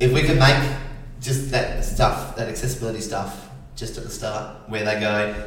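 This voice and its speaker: Against noticeable background noise and audible room echo, a man with an Australian accent speaks at medium pitch with fairly even intonation. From Adelaide, South Australia. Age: 40s. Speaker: sign language interpreter. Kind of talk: casual interview.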